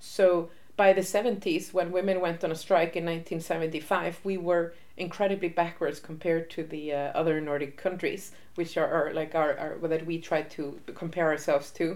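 Speaking with an Icelandic accent, a woman with a fairly low pitch keeps a moderate pace and a monotone, flat intonation. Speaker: interviewee on feminist history. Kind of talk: interview.

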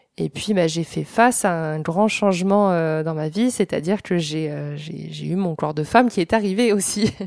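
Against a silent background in a very clean recording, a woman speaks at a moderate pace with a fairly low pitch and ordinary pitch variation. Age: 20s. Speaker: former Olympic synchronized swimmer, sports shop salesperson. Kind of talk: interview. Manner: hesitant, many fillers.

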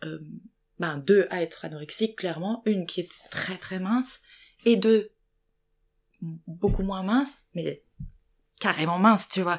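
At a fairly slow pace, a woman talks with long, frequent pauses. Her pitch is medium, with ordinary pitch variation. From Lorraine, France (small town). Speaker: actress. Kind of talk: testimony. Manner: hesitant.

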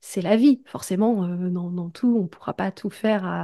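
Over a quiet background, a woman speaks with a dark, mellow tone. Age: 30s. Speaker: podcast manager. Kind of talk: interview.

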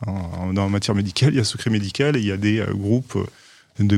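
Pitch moves in a normal way in an unremarkable speaking voice kept at a moderate pace. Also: man. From Provence, southern France (Aix-en-Provence). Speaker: lawyer, law firm partner. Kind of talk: interview.

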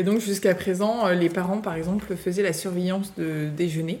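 A woman with a dark, mellow tone speaks at a moderate pace with fairly even intonation, and the room echo is audible. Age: 30s. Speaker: school founder and teacher. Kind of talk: interview.

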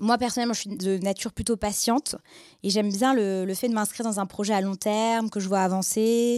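Fairly quick and fairly even in intonation, a normal speaking voice comes through a very clean, silent-background recording with a dry, close sound and no echo. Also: woman, medium pitch for a woman. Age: 20s. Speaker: biotech startup co-founder. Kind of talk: interview with students.

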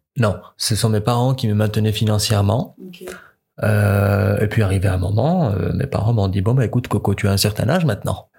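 A man's dark, mellow voice, somewhat breathy, comes at a fairly quick pace. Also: fairly low pitch for a man, ordinary pitch variation. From Morocco. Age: 20s. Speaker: foreign student. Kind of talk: interview.

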